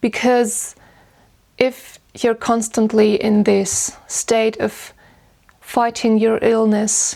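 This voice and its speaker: A woman with a German accent speaks at a very slow pace in a dark, mellow tone and fairly high pitch. Her intonation is monotone and flat, and her loudness stays very even. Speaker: vlogger and musician. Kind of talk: casual Q&A.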